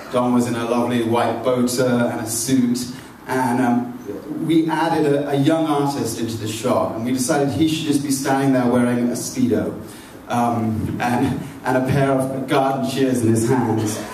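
A man talks at a moderate pace with fairly even intonation, some audible room echo, and light background noise. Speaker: magazine editor. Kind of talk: event introduction and moderation. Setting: public event at a library. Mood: light, anecdotal. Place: hall.

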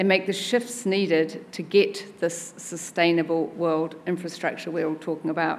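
A woman with a New Zealand accent and a fairly low pitch. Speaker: chief executive of a local government body; conference speaker. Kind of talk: conference speech. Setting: stage with audience. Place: hall. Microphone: podium.

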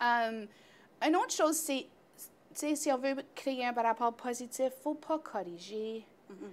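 A woman speaks at a very slow pace with a high pitch. Her loudness swings widely. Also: lively intonation. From Northern Ontario, Greater Sudbury area. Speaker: early childhood educator. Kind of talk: casual interview. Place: studio. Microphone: lapel.

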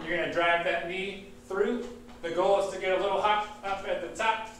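There is audible room echo and light background noise as a man speaks at a high pitch and a moderate pace. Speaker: fitness instructor. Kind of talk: workout class instruction. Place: gym. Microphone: webcam.

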